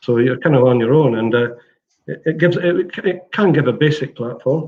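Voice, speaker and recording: A somewhat breathy man's voice at a medium pitch. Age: 60s. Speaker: platform company CEO. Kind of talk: interview. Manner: halting.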